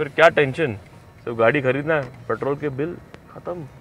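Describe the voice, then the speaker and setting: A man speaks with fairly even intonation. The sound is dry with no echo, with light background noise. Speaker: car reviewer. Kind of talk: car review commentary. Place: car.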